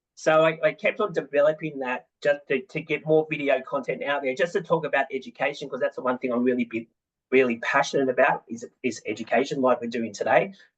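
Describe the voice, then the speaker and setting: A man talking at a very fast pace. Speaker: mortgage broker and business owner. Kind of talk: webinar panel talk. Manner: hesitant, many fillers and repetitions.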